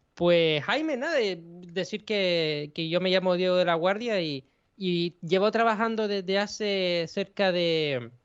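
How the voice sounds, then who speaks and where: A man speaks with a Canarian accent. His voice is high, with ordinary pitch variation. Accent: Canarian Spanish, soft. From Canary Islands, Spain. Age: young. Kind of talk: interview. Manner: halting, repeats words.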